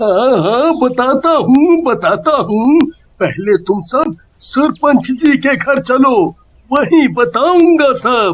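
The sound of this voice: A man's cartoonish character voice, extremely high in pitch and at a very slow pace.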